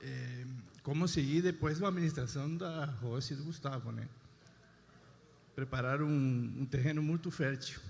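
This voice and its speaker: With an Argentine accent, a man talks at a moderate pace in a fairly high, somewhat breathy voice with ordinary pitch variation and long, frequent pauses. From Argentina. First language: Spanish (speaking Portuguese). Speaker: husband giving testimony. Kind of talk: testimony.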